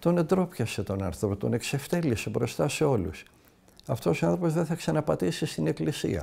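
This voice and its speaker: Over a very clean recording with a silent background, a man with a dark, mellow tone and vocal fry speaks at a moderate pace. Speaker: Orthodox monastic elder from Mount Athos giving a talk. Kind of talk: religious talk answering a listener's question.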